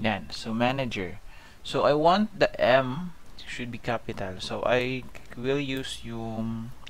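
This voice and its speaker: Audible room echo around a man at medium pitch, speaking at a very slow pace. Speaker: programming tutorial instructor. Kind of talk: screen-recorded coding tutorial. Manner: casual, with frequent fillers (um, okay).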